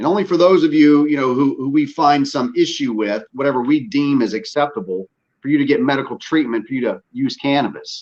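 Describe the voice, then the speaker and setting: In a Southern US accent, a man talks at a fairly quick pace with hardly any pauses. His pitch is fairly high and his intonation lively. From US South, northwest Louisiana. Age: 40s. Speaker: podcast host, military veteran. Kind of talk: casual chat. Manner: animated.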